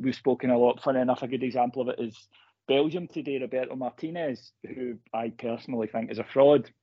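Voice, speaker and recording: Delivered at a fairly quick pace with fairly even intonation, this is an ordinary speaking voice. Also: man. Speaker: football journalist. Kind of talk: interview.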